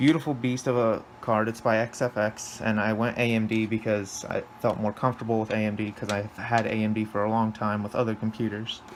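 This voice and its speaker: A man's fairly low voice, fairly quick and flat in a monotone, with hardly any pauses and noticeable background noise. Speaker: PC gaming vlogger. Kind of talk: casual tech vlog narration. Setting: in bedroom at home. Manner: halting, stuttering.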